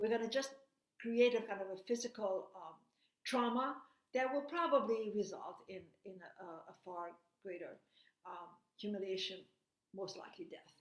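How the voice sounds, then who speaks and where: A woman with a non-native accent speaks at a fairly high pitch and moderate pace, with lively intonation, big swings in loudness and long, frequent pauses, in audible room echo. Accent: noticeable foreign. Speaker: invited lecturer giving a remote talk. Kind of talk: lecture. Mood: grave, earnest.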